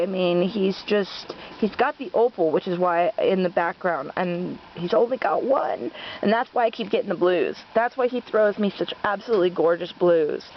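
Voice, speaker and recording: Amid noticeable background noise, a woman speaks at a fairly slow pace with ordinary pitch variation. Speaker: rabbit breeder. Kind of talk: casual video update. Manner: hesitant, many fillers.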